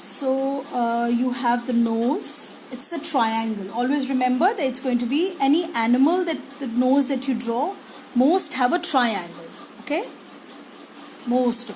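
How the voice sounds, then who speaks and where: There is audible room echo and noticeable background noise. A woman speaks at a high pitch with ordinary variation. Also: fairly slow pace. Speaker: art teacher. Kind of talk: live drawing tutorial. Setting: live stream. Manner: slow.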